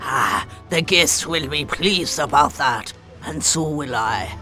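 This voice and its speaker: A man's put-on character voice at a fairly high pitch and fairly slow pace, with clear music in the background. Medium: short film. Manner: brusque, folksy.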